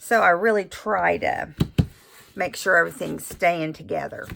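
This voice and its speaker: Here a woman speaks in a relaxed tone. Her pace is fairly slow. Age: 60s. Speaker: crafter and channel host. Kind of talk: casual craft tutorial chat. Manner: relaxed, halting with fillers.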